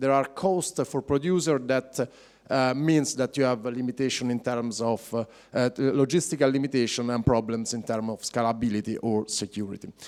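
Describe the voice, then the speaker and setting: With an Italian accent, a man speaks at medium pitch and a moderate pace, with ordinary pitch variation. The recording is very clean, the background silent. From Italy. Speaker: blockchain project manager. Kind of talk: conference talk. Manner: halting, many fillers.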